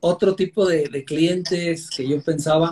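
A man at a fairly slow pace. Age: 40s. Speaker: meat importer and online seller. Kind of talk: interview.

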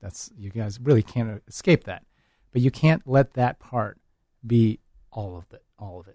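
In a dark, mellow tone, a man speaks at a fairly slow pace with ordinary pitch variation and big swings in loudness, the sound dry and close with no echo. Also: medium pitch for a man. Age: 40s. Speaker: education director and mentor at a medical school. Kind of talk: casual interview.

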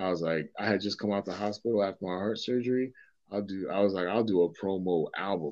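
Intonation remains fairly even while the words come at a very fast pace. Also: man, fairly low pitch for a man. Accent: American. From Boston, Massachusetts (Dorchester). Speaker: rapper and hip hop teacher. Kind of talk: casual interview conversation.

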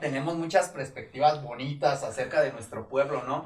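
A man's fairly high-pitched voice with fairly even intonation at a moderate pace, with noticeable background noise. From Mexico, Michoacán (Paracho). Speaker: podcast co-host. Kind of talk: casual chat. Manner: halting.

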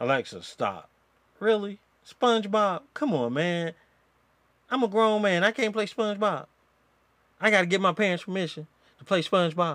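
The tone is animated. Long pauses break the speech often. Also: man, high pitch for a man, ordinary pitch variation, moderate pace. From Georgia. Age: 50s. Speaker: podcast host. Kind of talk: casual chat. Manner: animated, laughing.

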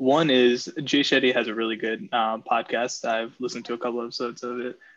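A man's unremarkable speaking voice at medium pitch, fairly quick pace and fairly even intonation, against a quiet background. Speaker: podcast host, pre-med student. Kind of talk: interview.

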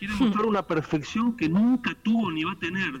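In a Rioplatense accent, a man speaks with ordinary pitch variation. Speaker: musician and poet. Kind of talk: interview.

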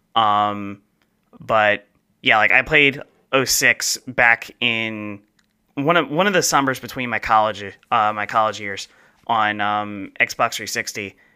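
At a very slow pace, with long, frequent pauses, a man speaks in a fairly low pitch and a bright, sharp tone with a slight New Jersey accent and ordinary pitch variation, recorded very cleanly against a silent background. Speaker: podcast co-host. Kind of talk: casual chat.

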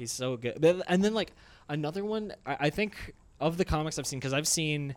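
Fairly high in pitch, a man talks with ordinary pitch variation in a plain, everyday voice. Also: moderate pace. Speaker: comedian and gamer. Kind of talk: casual chat.

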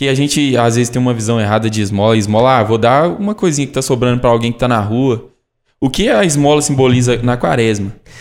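A man talks at a very fast pace with very even loudness. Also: medium pitch for a man, ordinary pitch variation. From Brazil, Caeté, Minas Gerais. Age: 20s. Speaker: sanctuary staff member asking questions. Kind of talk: casual Q&A conversation.

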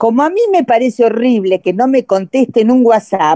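A woman's high voice with a dark, mellow tone and very wide pitch swings, dry and close with no echo. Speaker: participant. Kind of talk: casual chat.

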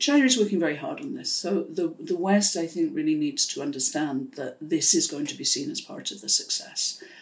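A woman with a Welsh accent talks at a fairly quick pace with hardly any pauses, very wide pitch swings, and big swings in loudness. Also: medium pitch for a woman. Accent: Welsh-tinged British English. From South Wales, UK (Pontypool). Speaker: international development expert. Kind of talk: interview. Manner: measured.

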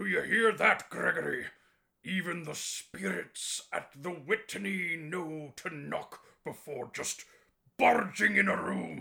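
A man talks at a fairly slow pace in a raspy voice. His pitch sits high. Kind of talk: campy spooky show-host narration. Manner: exasperated outburst; grandiose, theatrical, alliterative.

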